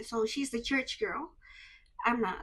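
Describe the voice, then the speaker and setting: An animated woman speaks with an Indonesian accent at a moderate pace. Her high-pitched voice has a bright, sharp tone and lively intonation. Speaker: vlogger. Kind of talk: personal storytelling vlog. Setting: handheld camera vlog. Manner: emotional, animated.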